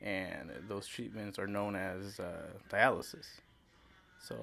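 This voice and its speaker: A man speaks at a fairly slow pace. His fairly low voice has vocal fry. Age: 20s. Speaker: kidney failure survivor. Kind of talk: casual interview. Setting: podcast recording.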